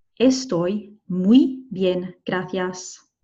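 Her voice has a dark, mellow tone and sounds somewhat breathy. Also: quiet background. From Scotland. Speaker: Spanish teacher. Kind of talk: tutorial. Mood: friendly, encouraging. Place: car. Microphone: webcam.

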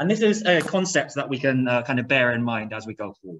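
A man talks at a very fast pace. Light background noise is present. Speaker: lecturer. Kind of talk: lecture. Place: classroom.

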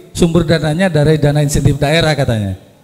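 This man has an unremarkable speaking voice, pitched fairly high. He talks at a fairly quick pace. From Indonesia. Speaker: disaster agency official; audience member. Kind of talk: question from audience. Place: hall. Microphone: handheld.

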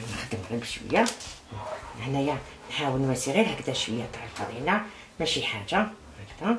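Against noticeable background noise, a speaker with an Algerian accent talks at a fairly quick pace, with very wide pitch swings and long, frequent pauses. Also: woman, very deep, low pitch for a woman. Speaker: cooking channel host. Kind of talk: cooking tutorial. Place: kitchen. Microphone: camera far.

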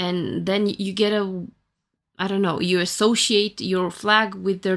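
A woman's monotone, flat delivery at a fairly slow pace, over a quiet background. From Romania. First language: Romanian. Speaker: tarot reader and YouTuber; tarot reader, YouTuber. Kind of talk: tarot reading monologue. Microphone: phone near.

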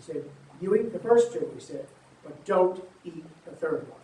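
Light background noise and audible room echo surround the recording. A man talks at a moderate pace. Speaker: storyteller. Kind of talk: oral storytelling. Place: garden.

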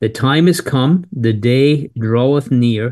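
Over a quiet background, a man talks at a very slow pace in a dark, mellow tone with ordinary pitch variation. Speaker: bible teacher. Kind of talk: scripture reading then bible lesson. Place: home room. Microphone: phone near.

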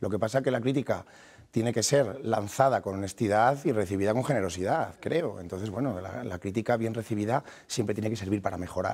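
On a very clean recording with a silent background, a man with a fairly low voice speaks at a fairly quick pace with ordinary pitch variation. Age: 30s. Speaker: mayor and politician. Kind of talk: TV interview. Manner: halting, with frequent repetitions.

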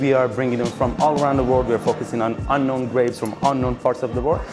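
A man's voice over clear music in the background. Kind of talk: interview answer. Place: bar.

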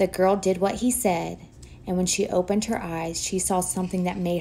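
With fairly even intonation, the voice does plain reading aloud.

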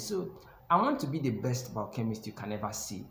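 A man's voice comes with light background noise and audible echo from the room. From Nigeria. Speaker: YouTube educator, biochemistry graduate. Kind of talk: tutorial. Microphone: phone near.

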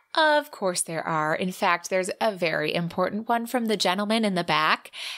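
A natural voice reading aloud, with ordinary pitch variation

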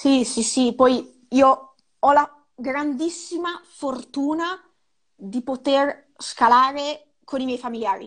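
Delivery is very slow, with ordinary pitch variation. The background stays quiet. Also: woman, high pitch for a woman. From Ravenna, Emilia-Romagna, Italy; Emilia-Romagna, Italy. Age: 20s. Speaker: snowboard instructor and mountain guide; snowboard instructor, mountain guide. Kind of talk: interview. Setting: live video call. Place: home room. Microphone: earbuds.

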